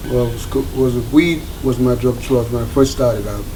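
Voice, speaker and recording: Amid noticeable background noise and audible room echo, a man speaks with a medium pitch. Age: 60s. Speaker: recovering addict in treatment. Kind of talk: documentary interview testimony.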